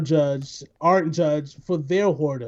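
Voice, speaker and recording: The background is quiet as a man speaks with a New York accent. His tone is dark and mellow, with ordinary pitch variation. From New York, the Bronx. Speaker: podcast host. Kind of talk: casual chat. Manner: animated.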